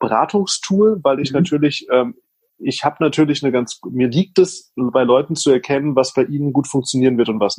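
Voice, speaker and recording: Pace is fairly quick for this man, with ordinary pitch variation. His pitch sits fairly high. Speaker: social media consultant. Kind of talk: casual interview chat. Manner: fast, talkative.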